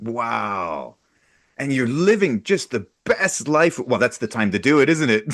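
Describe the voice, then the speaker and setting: Very wide pitch swings and vocal fry in a man's voice. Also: medium pitch for a man, fairly slow pace. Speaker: podcast host. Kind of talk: podcast interview.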